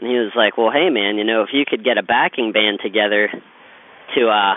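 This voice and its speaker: A man with a plain, everyday voice talks at a fairly quick pace, medium pitch and ordinary pitch variation. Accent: American. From Pittsburgh, Pennsylvania (South Hills). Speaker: singer-songwriter. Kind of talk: interview.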